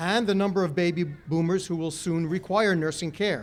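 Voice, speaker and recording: A man speaks at a high pitch and a fairly quick pace. His pitch variation is ordinary. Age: 60s. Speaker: college official giving ceremony speech. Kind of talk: ceremonial speech. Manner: formal.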